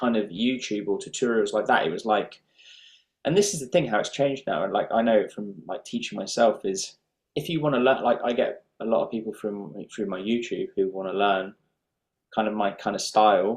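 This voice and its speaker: This man has an unremarkable speaking voice, a medium pitch and ordinary pitch variation, talking at a moderate pace. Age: 30s. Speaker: professional guitarist and teacher. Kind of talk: interview.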